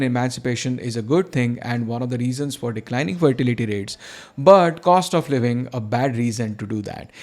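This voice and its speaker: Recorded very cleanly against a silent background, a man with a Marathi accent talks at a fairly quick pace with medium pitch and ordinary pitch variation. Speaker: video channel host, antinatalism commentator. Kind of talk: scripted news roundup narration.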